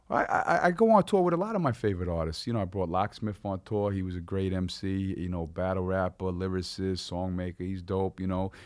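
Against a quiet background, a man with a very deep, low voice and a Long Island accent talks fairly quickly in a flat monotone, hardly pausing at all. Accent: New York (Long Island). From Long Island, New York. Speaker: rapper. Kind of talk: casual chat. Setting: studio.

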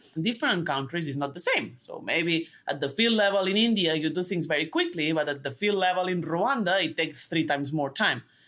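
A woman with a Spanish accent, fairly low-pitched, with ordinary pitch variation and a fairly quick pace. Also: hardly any pauses. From Spain. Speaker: sustainability researcher and book co-author. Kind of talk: interview. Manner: halting.

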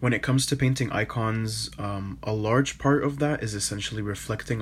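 Somewhat breathy and fairly low-pitched, a man talks at a fairly quick pace with ordinary pitch variation. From Canada, Toronto. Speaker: iconographer and painter. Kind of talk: interview.

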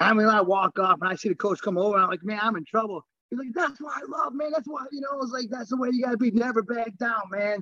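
Raised and projected, a man's extremely high voice races at a very fast pace with hardly any pauses and ordinary pitch variation, in an American accent. The sound is dry and close, with no echo. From US Midwest, Chicago south suburbs, Illinois. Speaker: former champion wrestler and grappler. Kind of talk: casual interview.

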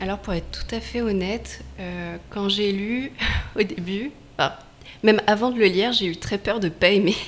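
In an ordinary speaking voice, a woman talks at a moderate pace and medium pitch with ordinary pitch variation. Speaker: author's friend and event organizer. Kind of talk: radio interview.

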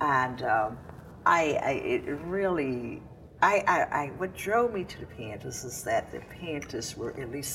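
Speaking with a Mississippi accent, a woman uses a very deep, low pitch and lively intonation over noticeable background noise. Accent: Southern US, Mississippi. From Mississippi, US South. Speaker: civil rights veteran. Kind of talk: oral history interview. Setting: recorded in Jackson, Mississippi. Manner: halting.

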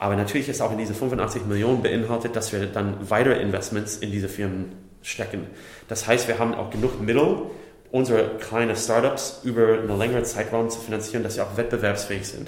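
A man with an American accent, flat monotone intonation and a fairly quick pace, with audible room echo and noticeable background noise. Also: medium pitch for a man. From USA. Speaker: startup company builder executive. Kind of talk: interview.

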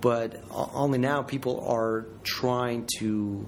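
In a Ukrainian accent, a man speaks at a medium pitch with fairly even intonation. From south central Ukraine. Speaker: Peace Corps project manager. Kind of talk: interview. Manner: halting.

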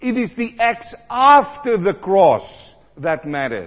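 A man speaks slowly at a high pitch. His voice moves in big pitch swings.

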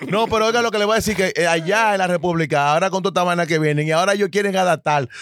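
With a Dominican accent, a man talks at a very fast pace with a high pitch, ordinary pitch variation and very even loudness. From Dominican Republic, Santo Domingo (Los Guaricanos). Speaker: podcast guest. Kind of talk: casual chat. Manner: animated.

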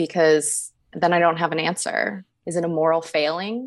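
Speaking at a moderate pace with an American accent, a woman has an unremarkable speaking voice at a fairly low pitch. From Northern Virginia, near Washington DC. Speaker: web and graphic designer. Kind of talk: casual interview chat.

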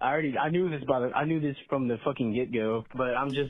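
Rattling along at a very fast pace, a medium-pitched man with an American accent speaks with ordinary pitch variation. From Texas. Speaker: caller. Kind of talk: phoned-in story. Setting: phone call.

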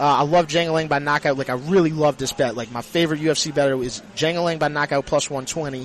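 Noticeable background noise runs under this recording. A man talks with fairly even intonation. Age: 30s. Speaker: sports social media personality. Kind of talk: casual radio interview. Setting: live at a casino sportsbook.

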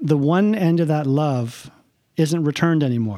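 This man has a fairly high pitch and a dark, mellow tone, speaking in a Canadian accent with ordinary pitch variation. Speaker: funeral director and podcast host. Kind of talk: casual conversational interview.

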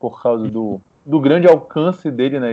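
The delivery comes in an unremarkable speaking voice, its pitch varying in an ordinary way. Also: man. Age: 20s. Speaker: nutritionist. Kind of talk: casual chat.

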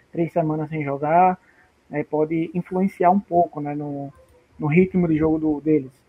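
In an ordinary speaking voice, a man talks at a moderate pace, fairly high in pitch, with fairly even intonation. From Brazil. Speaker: tennis betting tipster. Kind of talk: casual chat.

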